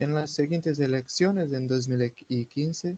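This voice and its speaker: This man's voice has a dark, mellow tone and ordinary pitch variation, recorded with a dry, close sound and no echo. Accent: Portuguese. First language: Portuguese (speaking Spanish). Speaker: political activist. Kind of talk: interview. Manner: halting.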